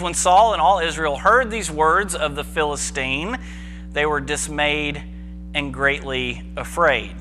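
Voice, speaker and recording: Music plays in the background. Over it, a man speaks very slowly. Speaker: preacher giving a sermon. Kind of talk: church sermon, casual teaching. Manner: conversational, informal, humorous asides.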